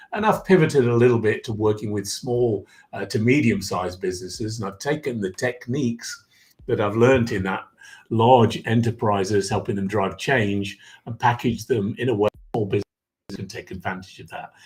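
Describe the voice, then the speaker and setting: An English-accented man talks at a fairly quick pace and a medium pitch, with ordinary pitch variation. His voice is somewhat breathy, and its loudness swings widely. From England, Derbyshire (East Midlands). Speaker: executive coach. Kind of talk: podcast interview.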